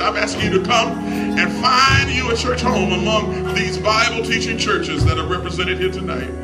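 A man at a fairly quick pace over loud music in the background. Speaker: preacher. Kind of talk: sermon altar call. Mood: earnest, pleading. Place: church.

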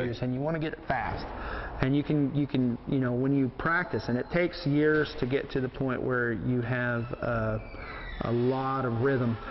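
Over light background noise, a man speaks at a medium pitch. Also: moderate pace. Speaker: professional livestock auctioneer and auctioneering teacher. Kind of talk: casual explanation to a reporter. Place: hall.

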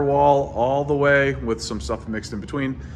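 A man talks at a moderate pace while light background noise sits underneath. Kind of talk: casual vlog chat. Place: empty room. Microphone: phone near.

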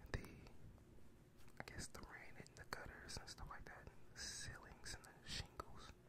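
Loud background noise surrounds a man as he talks. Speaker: ASMR creator. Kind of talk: ASMR ramble. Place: home room. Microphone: studio mic.

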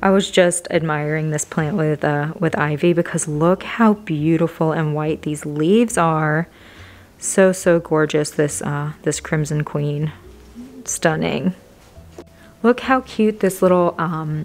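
A woman's very deep, low pitch with ordinary pitch variation at a fairly slow pace. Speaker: plant vlogger. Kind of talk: casual vlog chat. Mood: enthusiastic, admiring. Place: shop.

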